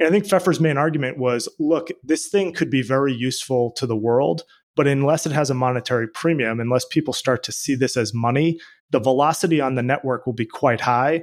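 Over a quiet background, a man with an unremarkable speaking voice talks fairly quickly at a fairly high pitch, with ordinary pitch variation. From Boston, US. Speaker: venture capital investor. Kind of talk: interview.

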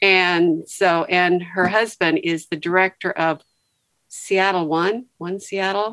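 Speaking very slowly, a woman at medium pitch keeps a monotone, flat intonation, and the recording is very clean with a silent background, with a dark, mellow tone. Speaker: retired nurse. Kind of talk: casual chat.

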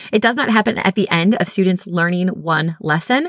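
Her voice is at a medium pitch with ordinary pitch variation and an animated tone. The woman's recording sounds dry and close, with no echo. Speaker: literacy specialist and podcast host. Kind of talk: solo educational podcast monologue. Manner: fast.

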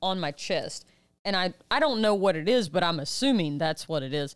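In a very clean recording with a silent background, a woman talks at a moderate pace. She has a fairly low pitch and an ordinary speaking voice. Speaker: podcast co-host. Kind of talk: casual chat.

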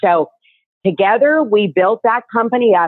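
In a normal speaking voice, a woman talks at a moderate pace with lively intonation. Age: 60s. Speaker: nutraceutical business owner. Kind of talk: interview.

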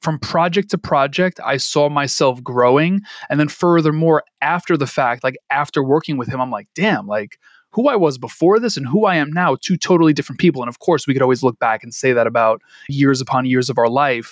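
A man's fairly high-pitched voice with lively intonation and a fairly quick pace, dry and close with no echo, against a quiet background. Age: 30s. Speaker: podcaster and entrepreneur. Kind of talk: casual chat. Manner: animated.

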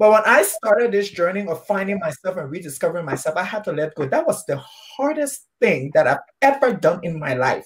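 The delivery is animated and enthusiastic, fairly quick, with hardly any pauses. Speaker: live show host. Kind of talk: casual chat. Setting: live online video stream. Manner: animated, enthusiastic.

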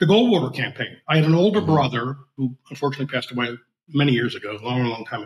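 A man speaks at a very fast pace with a medium pitch and ordinary pitch variation. His voice is somewhat breathy. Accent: American. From Philadelphia, US. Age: 70s. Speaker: libertarian writer and editor. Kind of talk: casual interview conversation.

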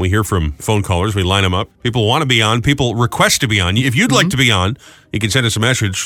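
Speaking with an American accent, a man has a medium pitch and a bright, sharp tone. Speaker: morning radio co-host. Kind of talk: casual chat. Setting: studio. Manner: fast talker.

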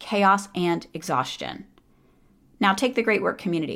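A woman at a medium pitch speaks with vocal fry. The recording is very clean, with a silent background. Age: 40s. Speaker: podcast host, psychologist and coach. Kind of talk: solo podcast monologue.

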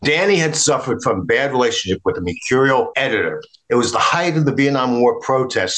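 This is someone reading aloud. The voice stays natural throughout.

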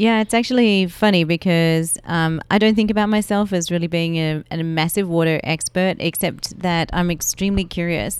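At a moderate pace, a woman with a fairly low voice and an Australian accent speaks with ordinary pitch variation in a very clean recording with a silent background. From Melbourne, Australia. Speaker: water advocate and marathon runner. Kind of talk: interview. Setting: in person.

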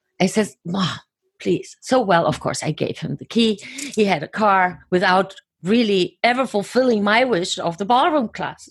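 A somewhat breathy woman's voice at medium pitch, with lively intonation and a moderate pace. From Germany. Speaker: author and coach. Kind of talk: interview.

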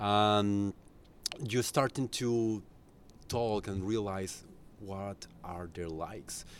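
Speaking in a Spanish accent at a very slow pace, the voice leaves long, frequent pauses. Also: man, fairly low pitch for a man. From Colombia. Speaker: tour guide and music journalist. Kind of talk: casual interview. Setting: rooftop terrace. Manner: halting.

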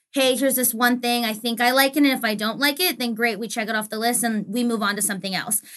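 Hardly pausing, a woman with a fairly high pitch races along at a very fast pace in a bright, sharp tone, her intonation fairly even against a quiet background. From Arizona, US. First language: Spanish. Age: 20s. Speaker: sports industry professional. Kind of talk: interview.

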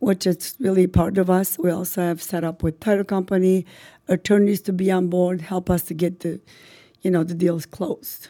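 A woman with an Albanian accent speaks at medium pitch and a moderate pace in a dark, mellow tone. Her intonation is monotone and flat, on a very clean recording with a silent background. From North Macedonia (ethnic Albanian). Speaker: real estate broker and office owner. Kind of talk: podcast interview.

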